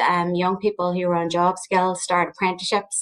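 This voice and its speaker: A woman speaks with a Northern Irish accent. Her pitch is medium. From Northern Ireland, County Armagh. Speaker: research director at a training agency. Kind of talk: panel discussion.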